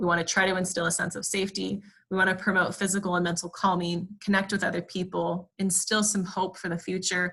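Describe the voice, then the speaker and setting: Talking at a fairly quick pace, a woman uses a medium pitch and a bright, sharp tone with vocal fry, her intonation monotone and flat. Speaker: clinical therapist presenting resilience training. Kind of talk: webinar lecture. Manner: fast.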